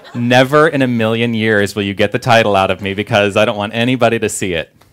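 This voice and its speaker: A man with a Californian accent at a very fast pace, medium pitch and fairly even intonation. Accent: California. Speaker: minister. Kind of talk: sermon. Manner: casual, conversational.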